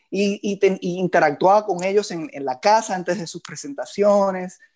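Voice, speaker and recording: With a Puerto Rican accent, a man speaks at a moderate pace and a high pitch over a quiet background. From Puerto Rico, Moca. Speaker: musician and composer. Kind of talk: interview conversation.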